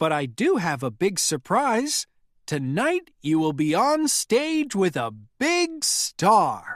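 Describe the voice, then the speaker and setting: A put-on character voice, fairly high in pitch with very wide pitch swings, at a very slow pace. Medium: read story.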